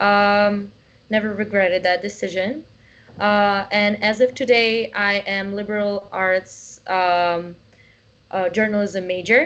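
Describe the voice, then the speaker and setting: A woman with a Russian accent at a very slow pace, medium pitch and fairly even intonation. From Russia (born in Uzbekistan). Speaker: college student. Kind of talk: interview.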